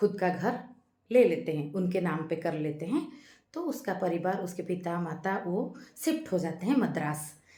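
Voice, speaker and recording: Her voice sits at a fairly low pitch. The woman is heard with audible room echo. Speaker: YouTube channel host, movie-based life philosophy talks. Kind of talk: casual monologue, movie review with reflection. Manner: hesitant, with filler sounds.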